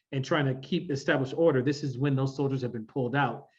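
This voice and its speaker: This man speaks with an American accent. His voice is fairly high in pitch and somewhat breathy. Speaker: workshop facilitator. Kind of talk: workshop presentation. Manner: animated.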